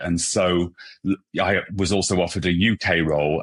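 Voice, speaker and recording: Recorded with a dry, close sound, no echo and a quiet background, a man speaks with a British accent. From England. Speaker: hairstylist and brand ambassador. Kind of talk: podcast interview.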